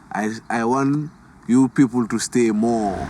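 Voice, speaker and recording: A man speaks at a very slow pace with fairly even intonation. Noticeable background noise can be heard. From Gambia. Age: 20s. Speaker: refugee. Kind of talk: documentary interview.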